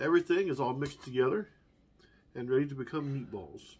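At a moderate pace, a man is talking. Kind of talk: casual cooking demo. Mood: relaxed, upbeat. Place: home room. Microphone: camera far.

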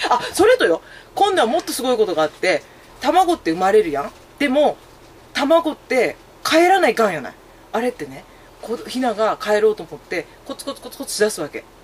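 A woman speaks at a high pitch with very wide pitch swings. Light background noise sits behind her. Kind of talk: casual conversation. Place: office. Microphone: camera far.

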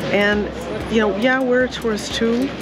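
A woman speaks with a dry sound and no echo. Music plays in the background. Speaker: travel vlogger. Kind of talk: casual vlog chat. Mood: reflective, mildly critical. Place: street. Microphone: phone near.

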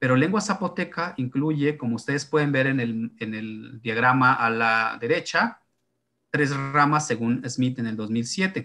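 A man's bright, sharp tone at a fairly slow pace, with ordinary pitch variation. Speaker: presenter. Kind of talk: lecture. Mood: relaxed, explanatory. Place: home room. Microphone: webcam.

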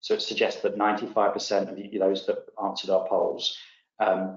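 In a quiet background with audible room echo, a man is speaking. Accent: English. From England. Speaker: tech company CEO. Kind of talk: webinar presentation. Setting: online webinar. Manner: halting, many fillers and repetitions. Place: home room. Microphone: webcam.

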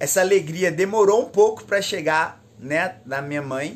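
Lively intonation and a fairly slow pace from a man with a high voice. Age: 20s. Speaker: former drug dealer giving testimony. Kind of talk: testimony. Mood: calm, grateful, smiling. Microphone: phone near.

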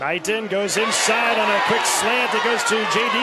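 Moderately paced male speech over clearly audible background noise. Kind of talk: live sports commentary, play-by-play. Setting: stadium broadcast booth. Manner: clipped, punchy delivery with crisp short calls.

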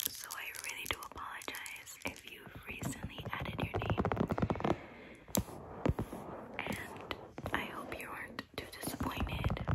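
A soft-spoken woman whispering at a fairly slow pace, with long, frequent pauses. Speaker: content creator. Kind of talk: casual vlog chat. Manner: soft close-up ASMR whisper. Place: home room.

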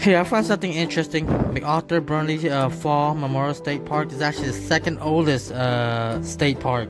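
Clear music plays in the background. A woman talks at a moderate pace with hardly any pauses. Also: ordinary pitch variation. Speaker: travel vlogger. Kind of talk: casual vlog chat. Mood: awed, excited. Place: forest. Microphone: phone near.

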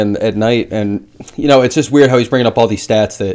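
A man speaks very fast in a dark, mellow tone against a quiet background. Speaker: MMA show host. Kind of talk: commentary. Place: home room. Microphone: webcam.

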